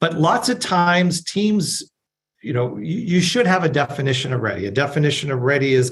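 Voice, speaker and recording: Somewhat breathy, a man speaks at a fairly quick pace. His fairly high pitch moves in very wide swings. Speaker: agile coach presenting a talk. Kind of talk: webinar presentation. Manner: fast.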